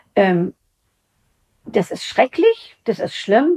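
In a dark, mellow tone with lively intonation, a woman speaks in a dry, close sound with no echo. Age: 70s. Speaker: retiree. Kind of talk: casual chat. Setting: at her home.

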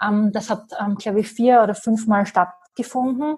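At a moderate pace, a woman speaks with a fairly high pitch and fairly even intonation. Her voice is somewhat breathy. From Austria, Graz. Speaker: business coach. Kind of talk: interview.

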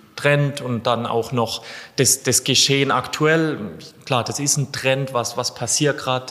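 With noticeable background noise, the speech comes at a fairly slow pace and with fairly even intonation. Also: man. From southern Germany, between Freiburg and Lake Constance. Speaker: football freestyler and content creator. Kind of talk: interview.

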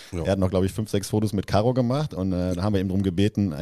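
Very fast speech from a man, very deep and low in pitch, with a dark, mellow tone. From Westphalia, Germany (Soest area). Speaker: employee, foreign correspondent on podcast. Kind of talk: casual chat.

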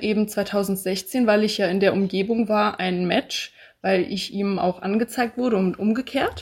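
A woman speaks at a medium pitch and a fairly slow pace with fairly even intonation. It is an unremarkable speaking voice. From Hesse, Bad Homburg near Frankfurt. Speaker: podcast guest, receptionist and student. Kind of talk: casual interview.

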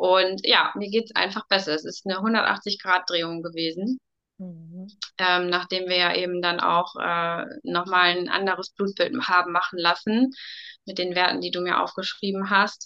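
A woman speaks with a bright, sharp tone at a medium pitch. Her pace is fairly slow and her intonation fairly even. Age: 30s. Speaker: coaching client, mother. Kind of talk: testimony in casual interview.

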